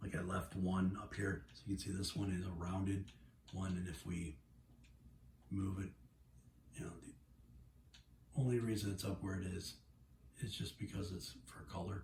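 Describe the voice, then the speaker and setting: Lively in intonation yet full of long, frequent pauses, a man with a very deep, low pitch and vocal fry speaks at a moderate pace. Noticeable background noise runs throughout. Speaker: video game logo tutorial maker; gamer showing a logo design. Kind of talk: tutorial. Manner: hesitant with fillers. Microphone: phone near.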